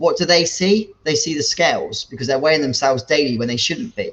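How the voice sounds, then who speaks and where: A man talks in a British accent at a fairly quick pace. His pitch is fairly high. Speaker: fitness coach. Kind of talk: casual talk to camera. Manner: loud.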